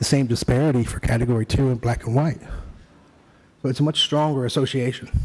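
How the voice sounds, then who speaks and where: Soft-spoken and somewhat breathy, a man talks at a medium pitch and a moderate pace with ordinary pitch variation. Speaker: expert witness. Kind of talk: court testimony. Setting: courtroom. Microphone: too quiet, hard to hear.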